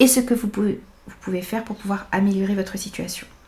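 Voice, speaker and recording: A woman speaks in a somewhat breathy, dark, mellow tone with monotone, flat intonation. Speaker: tarot reader. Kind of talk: tarot reading.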